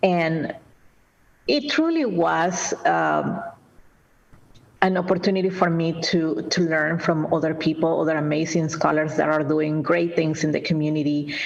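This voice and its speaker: A woman with a Spanish accent speaks at a fairly low pitch and a fairly slow pace, with fairly even intonation and very even loudness. Noticeable background noise and audible room echo fill the recording. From Peru, Lima. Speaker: nonprofit executive director. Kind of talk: interview. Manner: halting.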